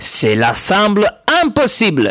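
A man with an Italian accent, high-pitched, at a very slow pace. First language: Italian (speaking French). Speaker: podcast host. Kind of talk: scripted monologue. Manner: halting.

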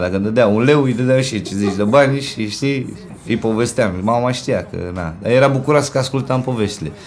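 An animated male voice at a moderate pace with ordinary pitch variation, audible room echo and noticeable background noise. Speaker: rapper. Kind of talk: casual interview. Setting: in a home.

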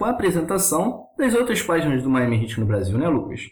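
A man speaks at a fairly quick pace in a somewhat breathy voice. His pitch swings very widely, and the room echo is audible. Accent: Carioca. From Rio de Janeiro, Brazil. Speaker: podcast co-host. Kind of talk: casual chat.

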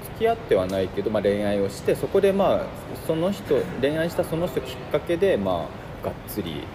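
Noticeable background noise fills the recording. Through it, a man speaks at a fairly quick pace. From Hiroshima, Japan. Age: 30s. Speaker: designer. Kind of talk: casual chat.

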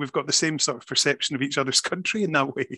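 A man with a Scottish accent, very fast, bright and sharp in tone, in a dry, close sound with no echo. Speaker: magazine web editor and podcast host. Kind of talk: casual interview.

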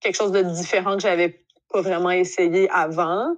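A woman speaks with a Quebec accent. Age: 30s. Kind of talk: casual chat. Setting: video call.

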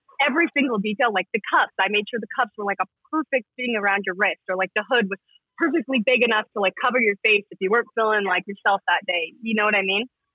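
In an American accent, a woman with fairly high pitch and ordinary pitch variation talks at a very fast pace. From Utah (Salt Lake City). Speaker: clothing brand founder. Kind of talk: casual interview.

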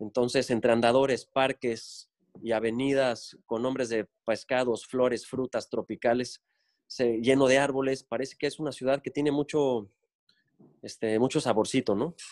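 A man talks at a medium pitch and a moderate pace. His intonation stays monotone and flat. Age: 40s. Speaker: architect. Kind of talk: interview. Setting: video call.

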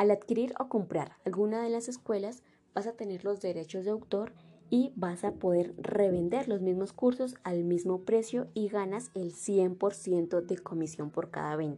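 A woman speaks with a dark, mellow tone at a medium pitch. Her pace is fairly slow, with ordinary pitch variation. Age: 20s. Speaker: online marketing seller. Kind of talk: sales pitch. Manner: scripted, direct address.

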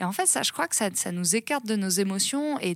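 The woman's medium-pitched voice is captured on a very clean recording with a silent background. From rural France, Seine-et-Marne. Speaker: founder of a training organisation. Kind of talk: interview. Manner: hesitant, many fillers.

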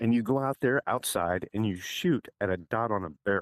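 In a dry, close sound with no echo and a silent background on a very clean recording, a man speaks at a moderate pace with very wide pitch swings. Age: 50s. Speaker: real estate agent and retired Marine. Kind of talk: casual chat.

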